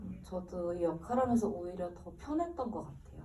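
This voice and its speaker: A medium-pitched woman, with audible room echo and noticeable background noise. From South Korea, Busan. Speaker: actress. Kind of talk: post-screening Q&A.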